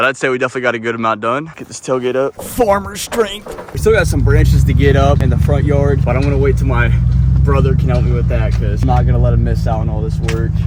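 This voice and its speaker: A man with an American accent at a fairly quick pace, noticeable background noise behind him. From US, rural. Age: 20s. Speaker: farming vlogger. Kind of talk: casual vlog narration. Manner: casual, halting.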